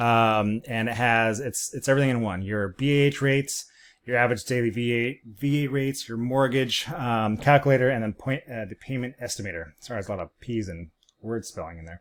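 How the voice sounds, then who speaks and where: On a very clean recording with a silent background, a man at a medium pitch talks at a fairly quick pace with ordinary pitch variation and big swings in loudness. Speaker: real estate agent. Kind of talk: market update presentation. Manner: fast; casual, many fillers.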